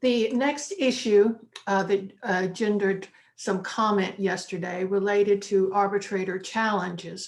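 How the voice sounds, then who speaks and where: A woman with a Texas accent speaks at a fairly slow pace with fairly even intonation. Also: medium pitch for a woman. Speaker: panel moderator. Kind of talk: panel discussion.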